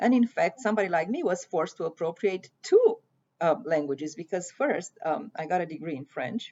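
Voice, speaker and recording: A woman speaks in a fairly low voice with a Romanian accent. Her pace is fairly quick and her intonation lively. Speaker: poet and prose writer. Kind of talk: prepared talk on literature. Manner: halting.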